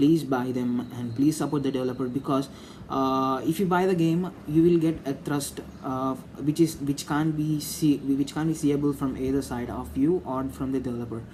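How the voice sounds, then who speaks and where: This speech carries an Indian accent. It moves along at a moderate speed. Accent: Indian English (Telugu). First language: Telugu. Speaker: gaming YouTuber. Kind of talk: opinion monologue to camera. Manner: halting, many fillers.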